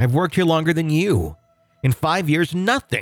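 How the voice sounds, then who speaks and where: A man speaks at a moderate pace in a high pitch while music plays in the background. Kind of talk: ghost story telling, reading a first-person account aloud.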